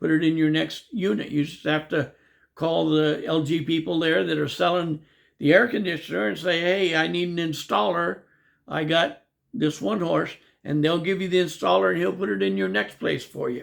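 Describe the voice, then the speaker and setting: A man with an American accent speaks at a moderate pace, his pitch fairly high and swinging very widely. The recording is very clean, with a silent background. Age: 70s. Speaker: YouTuber giving expat advice. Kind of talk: casual monologue. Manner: rambling, repeats words.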